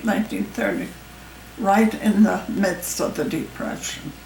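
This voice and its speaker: With noticeable background noise, a woman speaks at a fairly slow pace. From Ireland. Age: 80s+. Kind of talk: interview answer.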